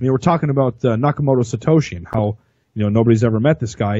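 Against a quiet background, a man speaks in a somewhat breathy voice, the sound dry and without echo. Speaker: podcast co-host. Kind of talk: casual podcast discussion. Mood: relaxed, speculative. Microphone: studio mic.

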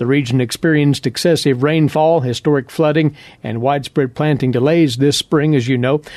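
At a fairly quick pace, a man uses an ordinary speaking voice with a fairly high pitch and fairly even intonation, in a dry, close recording with no echo and a quiet background. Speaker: farm radio host. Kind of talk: radio program hosting. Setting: studio.

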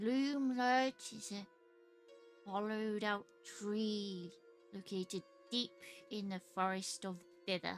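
A female-sounding put-on character voice at a medium pitch, very slow, with long, frequent pauses and clear music in the background. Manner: curt, suspicious.

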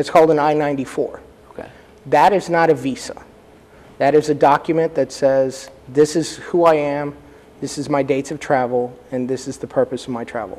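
Long, frequent pauses from a man with an American accent and fairly even intonation. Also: fairly quick pace. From US South, Texas (San Antonio); Texas. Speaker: immigration lawyer. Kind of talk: interview. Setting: studio. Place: studio. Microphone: lapel.

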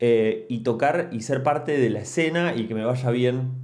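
A man at a fairly slow pace, with ordinary pitch variation, over a quiet background. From Argentina, Mar del Plata; Argentina. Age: 40s. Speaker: musician and anthropologist, YouTuber; youtuber, podcaster. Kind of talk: casual monologue to camera. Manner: hesitant, many fillers. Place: home room. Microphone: studio mic.

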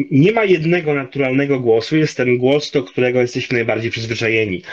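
A man rattles off words at a very fast pace, the background quiet behind him. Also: ordinary pitch variation, very even loudness. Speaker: linguist and commentator; guest. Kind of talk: interview on voice. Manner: many filler hesitations. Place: home room. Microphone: video call.

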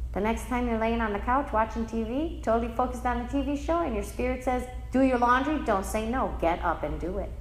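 Speech runs at a fairly quick pace with hardly any pauses, amid audible room echo and noticeable background noise. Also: woman. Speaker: spiritual teacher. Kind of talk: lecture.

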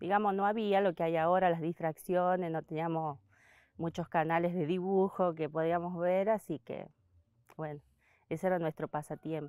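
A woman's fairly low, dark, mellow voice in a flat monotone, with long, frequent pauses, dry sound with no echo, and a quiet background. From Argentina, Santiago del Estero. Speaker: basket weaver. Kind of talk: interview testimony. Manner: halting. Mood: calm, warm reminiscing. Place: garden.

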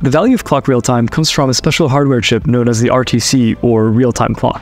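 A man speaks at a very fast pace with ordinary pitch variation. Faint music plays in the background of the dry, echo-free sound. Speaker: tech educator. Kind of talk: explainer short. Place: home room.

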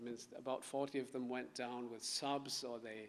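A man with a German accent, medium in pitch, with fairly even intonation and light background noise. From Germany (Bavaria). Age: 30s. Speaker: author. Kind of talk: book talk with reading aloud. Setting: stage with audience. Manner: halting. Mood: calm, reflective. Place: hall. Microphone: podium.

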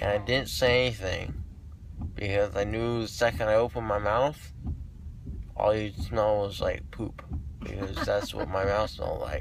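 Noticeable background noise sits under a dry sound with no echo as the speaker goes at a moderate pace with long, frequent pauses. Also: man. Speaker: vlogger. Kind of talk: casual vlog chat. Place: car. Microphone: phone near.

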